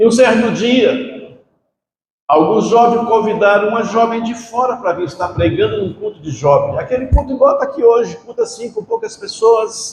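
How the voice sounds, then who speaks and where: At a moderate pace, a man speaks with an extremely high pitch. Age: 60s. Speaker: preacher. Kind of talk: sermon. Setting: church.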